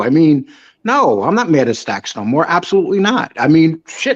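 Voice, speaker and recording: A man's fairly high voice with very wide pitch swings, at a moderate pace. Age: 60s. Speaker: online show guest. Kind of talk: casual chat.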